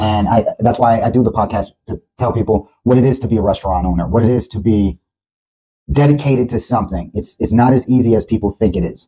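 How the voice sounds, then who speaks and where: This man talks at a very fast pace. His tone is dark and mellow, somewhat breathy. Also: medium pitch for a man, ordinary pitch variation. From Puerto Rican background, New York. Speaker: podcast host. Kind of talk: casual chat.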